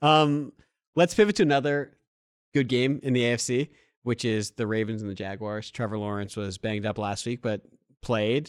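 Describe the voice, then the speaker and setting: In a plain, everyday voice, a man talks at a moderate pace with a medium pitch and ordinary pitch variation, the sound dry and close with no echo. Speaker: co-host. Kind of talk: casual sports banter.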